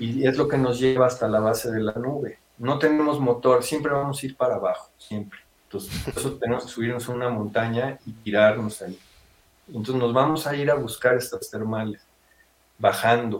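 With an unremarkable speaking voice, a man talks at a medium pitch and moderate pace with fairly even intonation. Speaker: paragliding instructor and business owner. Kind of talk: interview.

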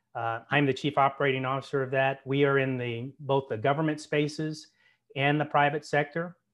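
In a monotone, flat delivery, a man with a fairly high pitch talks at a fairly quick pace. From US (military family, moved around). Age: 50s. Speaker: retired military officer and business executive. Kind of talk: interview. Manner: hesitant fillers.

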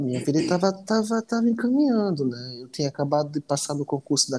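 A man talks very fast with lively intonation, his voice dry and close with no echo. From Natal, Rio Grande do Norte, Brazil. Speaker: immigrant guest. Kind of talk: casual interview chat.

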